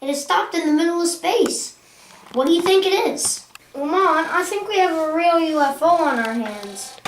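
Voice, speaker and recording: A woman performs a put-on character voice at an extremely high pitch, with lively intonation at a moderate pace. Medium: short film.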